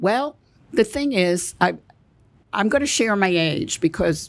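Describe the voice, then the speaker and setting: A woman talks at a fairly slow pace with vocal fry. Her pitch swings very widely. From Belgium. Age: 80s+. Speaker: author and Holocaust survivor. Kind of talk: casual interview chat.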